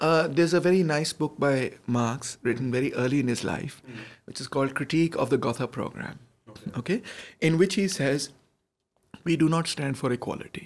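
Fairly high in pitch, a man talks at a fairly quick pace with ordinary pitch variation. His loudness swings widely. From Pakistan. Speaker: political science professor and activist; political science professor. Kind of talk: interview conversation; interview answer. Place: studio. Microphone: studio mic.

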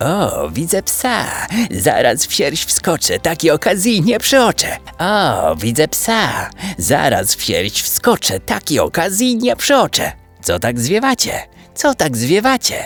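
A man puts on a squeaky, creaky character voice, high for a man, at a fairly slow pace. Faint music plays in the background.

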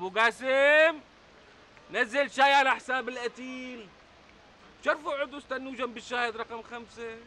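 A man speaks in a raised, projected voice. His pace is fairly slow and his intonation fairly even. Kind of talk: acted dialogue. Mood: mocking, theatrical. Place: cafe.

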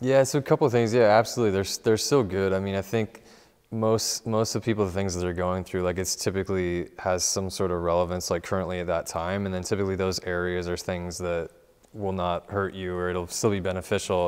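With an American accent, a man speaks at a fairly quick pace in a very deep, low voice with ordinary pitch variation, against a quiet background. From Southern California. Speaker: music producer; interview guest. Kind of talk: interview. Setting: studio. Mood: calm, reflective. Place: studio. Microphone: lapel.

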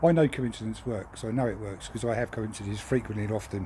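Over light background noise, a man with a southern English accent talks at a very fast pace, his tone dark and mellow with vocal fry. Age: 50s. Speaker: lorry driver. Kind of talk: video monologue. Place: garden. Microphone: phone near.

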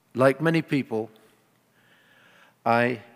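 The pace is fairly slow. This man's pitch rises and falls in an ordinary way.

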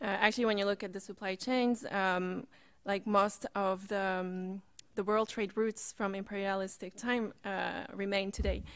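A woman's monotone, flat delivery over a quiet background. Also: moderate pace. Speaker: student event moderator. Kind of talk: moderated panel. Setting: stage with audience. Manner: hesitant, many fillers. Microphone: podium.

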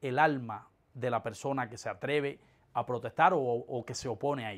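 With the background quiet, a man speaks, his pitch varying in an ordinary way. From eastern Cuba. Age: 30s. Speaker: political dissident; interviewee. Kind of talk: interview testimony. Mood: earnest, reflective. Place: office.

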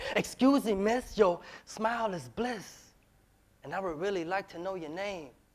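A man with an American accent uses a high pitch, lively intonation and big swings in loudness. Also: moderate pace. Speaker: spoken word poet. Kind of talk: spoken word performance. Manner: rhythmic. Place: stage. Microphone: lapel.

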